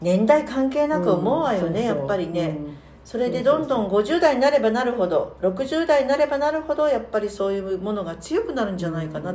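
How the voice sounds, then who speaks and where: Fairly quick speech with very wide pitch swings, audible room echo and noticeable background noise. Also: woman. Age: 60s. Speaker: podcast co-host, worker at a same-sex partner matchmaking agency. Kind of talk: casual chat.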